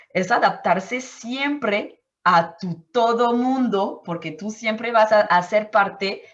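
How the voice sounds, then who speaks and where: This woman speaks very slowly in a French accent. Her pitch is medium, with ordinary variation. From Martinique. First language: French (speaking Spanish). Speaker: anthropologist. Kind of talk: interview. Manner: halting, with many fillers and self-corrections.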